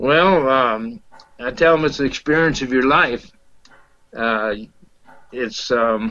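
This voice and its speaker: A man's medium-pitched voice with a Georgia accent and a bright, sharp tone, very slow and marked by long, frequent pauses, with ordinary pitch variation. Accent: Southern US, Georgia. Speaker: experienced pilgrim. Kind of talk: interview. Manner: halting.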